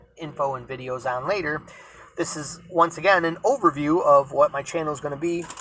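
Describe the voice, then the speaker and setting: A Rochester accent, with music in the background. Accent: Rochester, New York. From Rochester, New York, US. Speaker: van expediter, vlogger. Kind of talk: casual vlog monologue. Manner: halting, many fillers.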